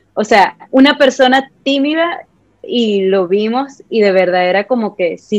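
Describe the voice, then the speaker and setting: A woman speaks in an ordinary speaking voice, fairly high in pitch with ordinary pitch variation. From Venezuela, Puerto Ordaz (Ciudad Guayana). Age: 20s. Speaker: makeup artist and content creator. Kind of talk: casual interview chat.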